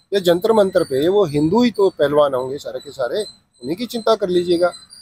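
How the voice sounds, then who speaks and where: A high-pitched man at a moderate pace, dark and mellow in tone, with lively intonation and big swings in loudness, in a dry, close sound with no echo. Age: 60s. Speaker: writer and social activist. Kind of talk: interview. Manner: halting, with fillers.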